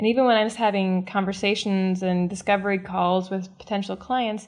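In an American accent, the speaker keeps a moderate pace on a very clean recording with a silent background. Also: woman. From US Midwest. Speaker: relationship coach. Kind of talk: interview. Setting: studio.

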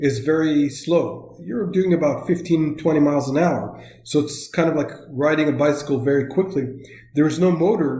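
A man with an Israeli accent speaks in a dark, mellow tone. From northern Israel. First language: Hebrew. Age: 40s. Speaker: software localization expert. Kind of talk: interview. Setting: remote call.

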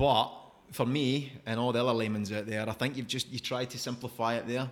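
At a fairly quick pace, a man speaks with a Scottish accent in a medium pitch and fairly even intonation. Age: 30s. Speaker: podcast host. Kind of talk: casual interview chat.

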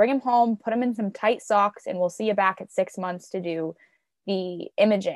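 Recorded in a dry, close sound with no echo, a woman speaks at a moderate pace in an unremarkable speaking voice, medium in pitch with fairly even intonation. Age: 20s. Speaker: podcast co-host, mother. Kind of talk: casual chat.

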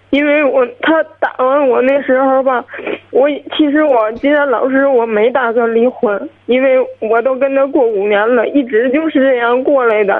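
A woman speaks at a high pitch with fairly even intonation over noticeable background noise. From Hebei, Qinhuangdao. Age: 20s. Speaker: caller, divorced mother. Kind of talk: radio call-in conversation. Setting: phone call.

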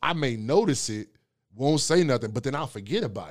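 This man has an ordinary speaking voice at medium pitch with lively intonation and a moderate pace. The recording is very clean with a silent background. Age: 30s. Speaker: podcast host. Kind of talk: casual chat.

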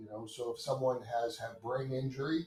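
Music plays in the background as a man with a medium pitch talks with ordinary pitch variation. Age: 60s. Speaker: hospital chief of staff and orthopedic surgeon. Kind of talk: interview.

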